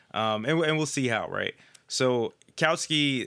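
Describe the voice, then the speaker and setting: A man speaks in a bright, sharp, animated tone with ordinary pitch variation. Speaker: leftist political podcast co-host. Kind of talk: casual political discussion. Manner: animated, laughs often.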